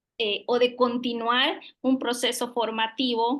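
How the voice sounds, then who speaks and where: Her fairly high voice carries a Yucatán accent, and this woman speaks in a monotone, flat intonation. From Yucatán, Mexico (Mayan community near Tekax). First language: Yucatec Maya (speaking Spanish). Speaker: public official, lawyer. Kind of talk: interview. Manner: hesitant, many fillers.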